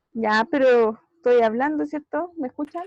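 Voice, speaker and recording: With lively intonation and a high pitch, a woman speaks at a fairly slow pace. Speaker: math teacher. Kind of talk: online class lecture.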